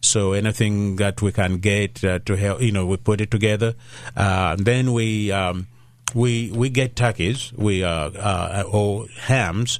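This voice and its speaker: Speaking in a Ugandan accent, a man keeps a fairly slow pace, a fairly low pitch, fairly even intonation and very even loudness. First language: Luganda. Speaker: pastor. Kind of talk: radio interview. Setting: studio. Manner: halting, many fillers.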